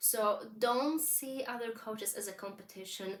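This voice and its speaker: Her pitch is fairly high for a woman, with a non-native accent. She talks at a very slow pace. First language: not English. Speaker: business coach. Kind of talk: vlog monologue, advice. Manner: conversational with fillers.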